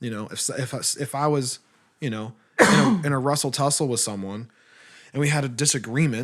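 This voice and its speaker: In an American accent, a man speaks at a medium pitch with ordinary pitch variation. His pace is fairly quick, broken by long, frequent pauses. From Texas. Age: 20s. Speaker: podcast co-host. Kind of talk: casual chat. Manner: animated.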